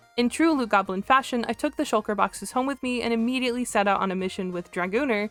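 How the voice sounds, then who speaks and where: A woman with an American accent at a very fast pace, with ordinary pitch variation and music in the background. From US Midwest. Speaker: gaming YouTuber. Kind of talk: scripted narration.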